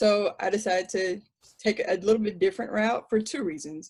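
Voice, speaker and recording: This woman speaks with ordinary pitch variation. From Sierra Leone, moved to US at about seven. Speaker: panel speaker. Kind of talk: personal talk to online audience. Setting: video call. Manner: conversational.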